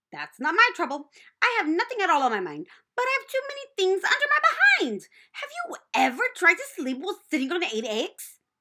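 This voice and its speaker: A put-on character voice, raised and projected, at a fairly quick pace with very wide pitch swings. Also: female-sounding voice, extremely high pitch for a woman. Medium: read story. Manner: repeats words, chattering.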